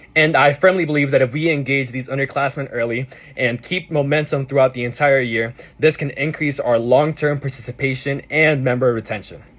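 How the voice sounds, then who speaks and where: This man talks at a fairly quick pace in a fairly high pitch, with fairly even intonation and a somewhat breathy sound. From Arizona. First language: Spanish. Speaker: student, officer candidate. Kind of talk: prepared campaign speech.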